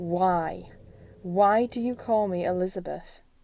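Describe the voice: A woman's put-on character voice, shaky, at a medium pitch with fairly even intonation and a fairly slow pace.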